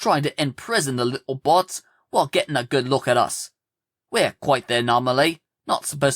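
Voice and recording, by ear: This is reading aloud in a natural voice, with ordinary pitch variation. The background is quiet.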